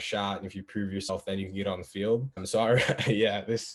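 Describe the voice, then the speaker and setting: Against noticeable background noise, a man speaks at a very fast pace in a fairly low pitch. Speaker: college football player. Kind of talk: panel discussion. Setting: video call.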